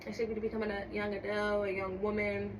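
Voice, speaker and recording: This woman has a medium-pitched voice. She talks fairly quickly. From US Northeast, North Philadelphia. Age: 20s. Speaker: small business owner. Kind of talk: casual podcast interview.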